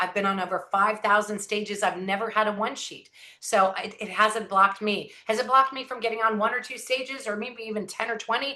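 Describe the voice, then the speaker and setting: A woman with an American accent and a fairly high pitch speaks at a fairly quick pace with fairly even intonation. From Southern California. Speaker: inspirational speaker. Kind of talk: motivational talk. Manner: high-energy.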